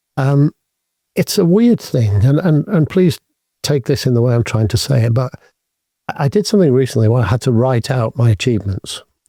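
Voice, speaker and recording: A man with a British accent, somewhat breathy and dark, mellow in tone, with lively intonation, very even loudness, a fairly quick pace, and long, frequent pauses. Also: medium pitch for a man, dry, close sound with no echo. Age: 60s. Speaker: business executive. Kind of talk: interview. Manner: halting.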